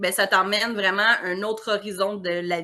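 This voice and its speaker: Bright, sharp tone from a woman at a medium pitch and a fairly slow pace. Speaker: naturotherapist. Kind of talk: interview. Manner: animated.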